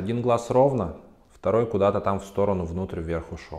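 Against a quiet background, a man with a dark, mellow tone speaks at a fairly quick pace with lively intonation. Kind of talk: educational talk to camera. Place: office. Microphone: lapel.

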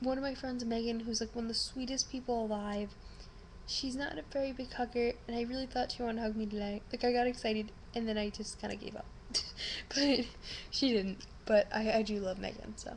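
A woman speaks at a fairly quick pace with fairly even intonation over light background noise. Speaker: vlogger. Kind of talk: casual vlog chat. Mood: subdued but grateful. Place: home room. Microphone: webcam.

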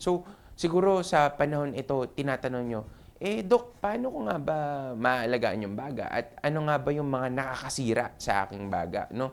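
Lively intonation marks a man's fairly high-pitched, unremarkable speaking voice. He keeps a moderate pace. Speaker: doctor and health show host. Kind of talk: health talk monologue. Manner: casual, filler-heavy.

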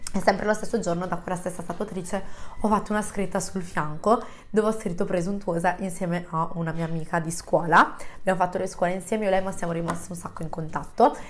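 This woman talks at a very fast pace and medium pitch. Her intonation stays fairly even. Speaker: YouTuber. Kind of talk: casual vlog chat to camera. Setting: home, close to microphone. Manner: chatty, friendly.

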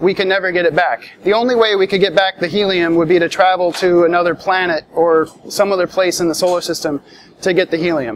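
Talking at a fairly quick pace, a man with a high pitch is heard over light background noise. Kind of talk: tutorial. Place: hall.

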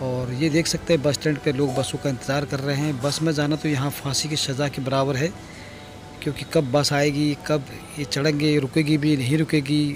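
A man speaks at a moderate pace in a flat monotone, his voice dry with no echo against noticeable background noise. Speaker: motovlogger. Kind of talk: casual vlog chat. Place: motorbike.

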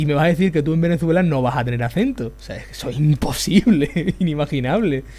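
A man with an Extremaduran accent talks at a fairly quick pace with hardly any pauses. His voice is somewhat breathy and dark, mellow in tone, with a fairly high pitch. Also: lively intonation. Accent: Extremaduran Spanish, aspirated h. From Extremadura, Spain. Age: 20s. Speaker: youtuber. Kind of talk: live stream chat while drawing.

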